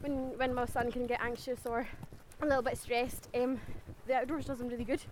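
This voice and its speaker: A woman in a Scottish accent talks very fast at a high pitch. Her intonation is monotone and flat, with noticeable background noise. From Scotland. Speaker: teacher, walk participant. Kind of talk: casual interview. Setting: outdoors on a forest walk.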